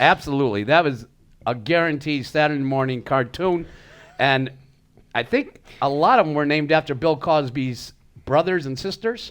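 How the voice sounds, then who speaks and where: Moderately paced male speech in an ordinary speaking voice, pitched fairly high, with ordinary pitch variation. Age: 60s. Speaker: podcast co-host. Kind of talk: casual chat.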